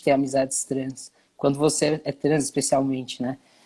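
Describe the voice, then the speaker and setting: The voice is a man's, dark and mellow in tone. His intonation stays monotone and flat. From Brazil, São Paulo city. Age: 20s. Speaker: content creator and activist. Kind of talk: interview.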